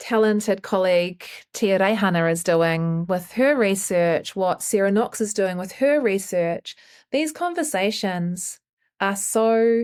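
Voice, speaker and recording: Speaking very slowly, a woman with a New Zealand accent uses a medium pitch. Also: very clean recording, silent background. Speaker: choreographer. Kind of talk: interview.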